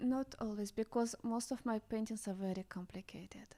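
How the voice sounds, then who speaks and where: On a very clean recording with a silent background, a woman with a Russian accent talks in a fairly high pitch with fairly even intonation. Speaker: visionary artist. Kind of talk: casual chat.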